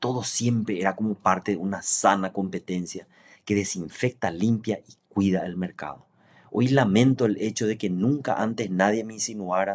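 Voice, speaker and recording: A man's unremarkable speaking voice, fairly low in pitch, with ordinary pitch variation and a moderate pace, on a very clean recording with a silent background. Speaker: engineer and business owner. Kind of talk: reading aloud. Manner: formal.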